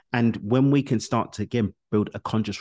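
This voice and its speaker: A man's voice, dry and close with no echo, over a quiet background. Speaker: coach and author. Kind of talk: interview. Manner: fast.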